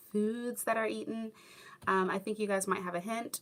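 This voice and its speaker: A woman with a Southern California accent, medium pitch, a bright, sharp tone and a moderate pace. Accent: Valley Girl. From US. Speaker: YouTuber, former English teacher in Japan. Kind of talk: livestream chat reading comments. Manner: casual, many fillers.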